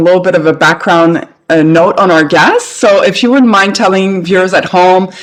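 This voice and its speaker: The speaker has a Canadian accent. Noticeable background noise runs underneath. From Canada. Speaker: podcast host. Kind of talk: interview.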